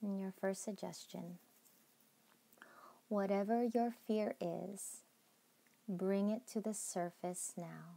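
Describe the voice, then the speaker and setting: At a very slow pace with long, frequent pauses, a woman of medium pitch speaks in a calm, dark, mellow tone with monotone, flat intonation. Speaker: meditation guide. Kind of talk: guided meditation. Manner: slow, calm.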